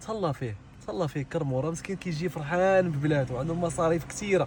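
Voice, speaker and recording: The delivery races along at a very fast pace. The intonation is lively and the tone animated. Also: man. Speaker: perfume shop owner. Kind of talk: casual video message.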